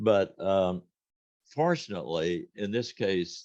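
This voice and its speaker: A man speaks in a very deep, low voice with a dark, mellow tone. The background is quiet. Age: 80s+. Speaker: retired band director, music educator. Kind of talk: interview.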